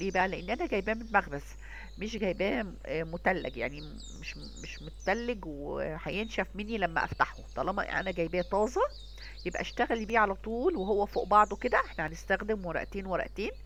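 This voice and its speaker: A woman speaks with an Egyptian accent at a moderate pace. Her loudness swings widely. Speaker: cooking channel host. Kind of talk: cooking tutorial. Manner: casual, conversational.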